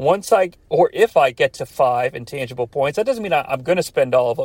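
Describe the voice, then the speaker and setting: Fairly high pitch for a man, a plain, everyday voice, and a fairly quick pace. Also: dry, close sound with no echo. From US Midwest, about an hour from Cincinnati. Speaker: podcast host. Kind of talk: solo podcast commentary. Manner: casual, with fillers.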